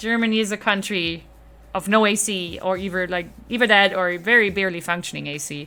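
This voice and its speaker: Spoken at a fairly quick pace with a non-native accent, the voice has a bright, sharp tone. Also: woman, medium pitch for a woman. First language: not English. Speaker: streamer. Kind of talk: live stream chat. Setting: live stream. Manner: animated.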